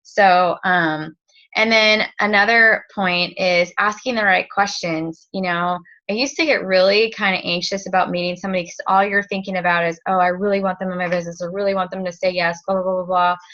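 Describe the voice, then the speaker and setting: At a fairly quick pace, a woman of medium pitch talks with a bright, sharp tone and fairly even intonation. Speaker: direct sales team leader. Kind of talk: training talk. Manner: halting, filler-heavy; casual.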